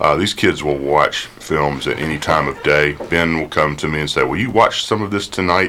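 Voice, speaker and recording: A man speaks at a very deep, low pitch with ordinary pitch variation. His pace is moderate with hardly any pauses, and there is noticeable background noise. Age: 50s. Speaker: film enthusiast and Sunday school teacher. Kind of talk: radio talk show.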